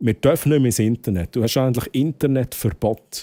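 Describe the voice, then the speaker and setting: Dry and close with no echo, a man's dark, mellow voice moves at a moderate pace with ordinary pitch variation. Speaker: streamer. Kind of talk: live stream chat.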